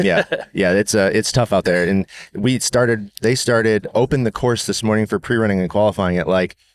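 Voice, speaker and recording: With an ordinary speaking voice, the speaker goes at a fairly quick pace, keeping very even loudness and ordinary pitch variation in a dry, close sound with no echo. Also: man, fairly low pitch for a man. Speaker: podcast host, off-road racer. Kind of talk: casual podcast interview. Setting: outdoors at a race venue.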